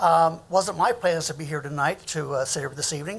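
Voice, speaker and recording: A man speaks with a high pitch. The recording is very clean, with a silent background. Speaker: arts nonprofit director. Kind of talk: public comment at council meeting. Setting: city council chamber. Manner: fast.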